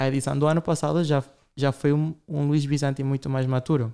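At a moderate pace, a man talks in a normal speaking voice that sits fairly high in pitch. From Latin America. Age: 20s. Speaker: fashion designer. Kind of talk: interview.

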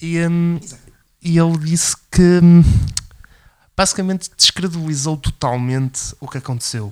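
The speech moves at a fairly slow pace with long, frequent pauses, ordinary pitch variation and big swings in loudness. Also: man, high pitch for a man. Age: 20s. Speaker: political commentary podcast co-host. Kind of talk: casual political discussion.

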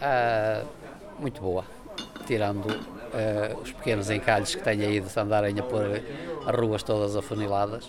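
Against noticeable background noise and audible room echo, a man with a fairly low pitch talks at a fairly slow pace with fairly even intonation. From northern Portugal, Penafiel. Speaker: wine shop owner. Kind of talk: interview.

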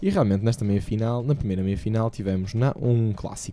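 Intonation stays fairly even throughout, carried by a dark, mellow tone. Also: man. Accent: European Portuguese. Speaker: tennis podcast host. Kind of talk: casual chat.

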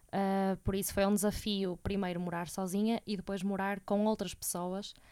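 Delivery comes at a moderate pace. The intonation stays monotone and flat. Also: woman. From Portugal, Porto. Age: 20s. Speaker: university student. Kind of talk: interview.

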